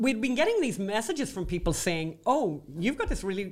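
A woman with an Irish accent speaks at a fairly quick pace. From Ireland. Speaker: podcast co-host. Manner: chatty, storytelling, wry humour.

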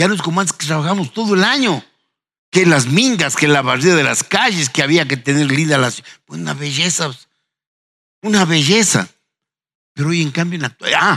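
With vocal fry and a bright, sharp tone, a man at a fairly high pitch speaks at a moderate pace with lively intonation and long, frequent pauses. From Ecuador, Ambato. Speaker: historian and university professor. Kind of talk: panel discussion.

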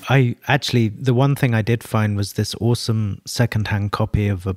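Somewhat breathy and fairly low in pitch, a man with a London accent talks at a fairly quick pace. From London, England. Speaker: creative director. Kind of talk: interview. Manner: halting.

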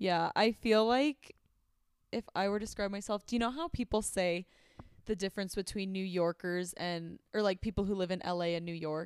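A woman's ordinary speaking voice with an American accent, medium pitch, ordinary pitch variation and a moderate pace, dry and close with no echo, on a very clean recording with a silent background. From Arizona. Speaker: podcast host and nurse. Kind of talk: casual chat.

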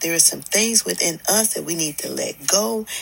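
A woman is heard over noticeable background noise. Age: 60s. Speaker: podcast host. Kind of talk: motivational monologue. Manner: conversational.

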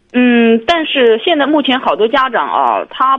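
A woman's high-pitched voice. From Jiangsu, China. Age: 30s. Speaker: caller, insurance worker. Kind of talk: phone-in conversation.

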